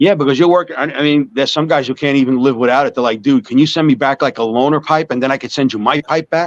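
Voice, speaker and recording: A man with a fairly high pitch talks at a very fast pace in a New York accent, with hardly any pauses. The sound is dry and close with no echo, and his pitch varies in an ordinary way. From US Northeast (Long Island, New York). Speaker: small business owner selling smoking pipes. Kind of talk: casual interview.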